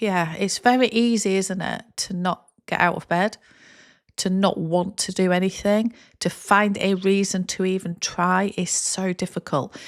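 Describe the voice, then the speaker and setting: A woman talks with an English accent. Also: very clean recording, silent background. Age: 50s. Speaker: content creator. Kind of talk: casual talking-head vlog.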